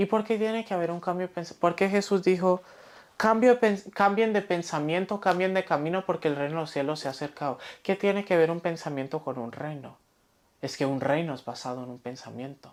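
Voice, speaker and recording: A woman with an ordinary speaking voice and a fairly low pitch talks at a fairly quick pace with lively intonation, on a very clean recording with a silent background. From Spain, Valencia. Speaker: pastor. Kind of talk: sermon.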